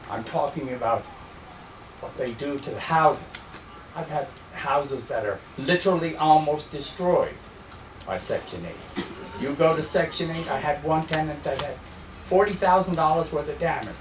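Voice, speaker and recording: This man's voice sits fairly high, with ordinary pitch variation and a moderate pace broken by long, frequent pauses. Noticeable background noise runs underneath. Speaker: landlord, meeting attendee. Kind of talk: public meeting debate.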